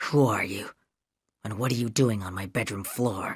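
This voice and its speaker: A man's quiet, growling put-on character voice, fairly low in pitch, at a moderate pace. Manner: threatening.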